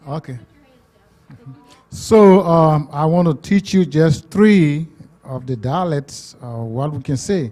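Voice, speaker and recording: Very slowly, a man speaks in a fairly high pitch with long, frequent pauses. His loudness swings a lot. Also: lively intonation. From Liberia. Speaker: visiting missionary speaker. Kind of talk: teaching phrases to a church audience. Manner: slow, deliberate.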